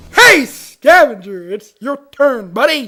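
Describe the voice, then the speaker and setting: A put-on character voice, high in pitch, delivered at a fairly slow pace. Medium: audio drama. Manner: upbeat, excitable.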